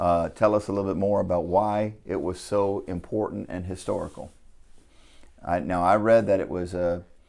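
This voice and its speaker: With fairly even intonation, the man talks at a moderate speed in a very deep, low register. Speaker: politician. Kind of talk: interviewer questions.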